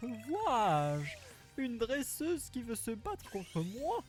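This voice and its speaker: Here is a put-on character voice with a fairly high pitch. It moves at a fairly slow pace over clear background noise. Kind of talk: haughty.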